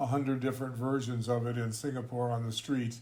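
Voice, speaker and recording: A man's medium-pitched voice with monotone, flat intonation at a moderate pace, with audible room echo. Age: 80s+. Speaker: intercultural trainer. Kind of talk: casual chat. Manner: halting.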